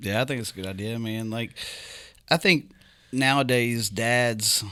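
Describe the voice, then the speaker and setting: A man's medium-pitched voice with a West Virginia accent, bright and sharp in tone, at a fairly slow pace on a very clean recording with a silent background. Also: ordinary pitch variation. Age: 40s. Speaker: sales executive. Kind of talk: casual chat. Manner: halting.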